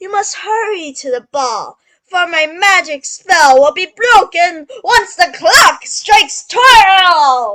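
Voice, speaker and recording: In a put-on character voice, a woman speaks very slowly at an extremely high pitch, her voice raised and projected. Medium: read story. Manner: warm, motherly.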